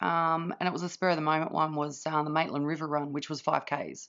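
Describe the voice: A woman is shouting in a hoarse, low-pitched voice. Her tone is fairly bright.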